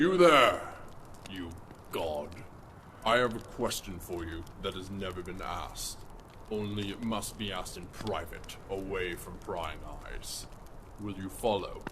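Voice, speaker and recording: A man's put-on character voice, fairly low in pitch, with long, frequent pauses and clear background noise. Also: fairly slow pace. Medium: audio drama. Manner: scornful, sly.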